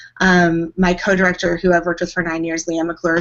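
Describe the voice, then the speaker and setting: Speaking at a very fast pace, a woman sounds animated. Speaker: show choir director and teacher. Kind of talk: casual interview. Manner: loud, animated.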